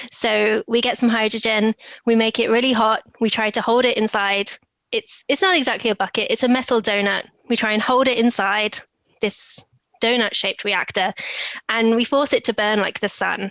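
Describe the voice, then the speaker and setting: A woman's fairly high voice with a British accent, fairly even intonation, very even loudness, and a moderate pace. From England, Oxfordshire. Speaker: e-discovery professional, former physicist. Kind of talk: casual interview chat. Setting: video call.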